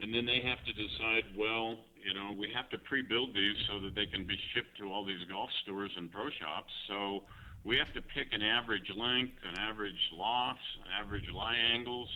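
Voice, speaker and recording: A plain, everyday voice is heard here. Its intonation is fairly even and its pace moderate. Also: man, fairly low pitch for a man. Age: 60s. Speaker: golf club designer. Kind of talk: interview. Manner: many fillers (you know, um).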